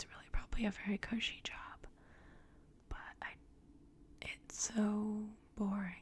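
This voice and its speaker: A woman whispers at a fairly slow pace, pausing often and at length. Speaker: ASMR artist. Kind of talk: ASMR ramble. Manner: soft-spoken, whispered.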